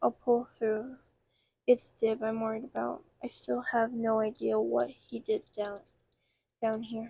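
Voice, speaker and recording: A put-on character voice from a woman, fairly high in pitch and at a fairly slow pace. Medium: read story. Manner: shouty, self-important.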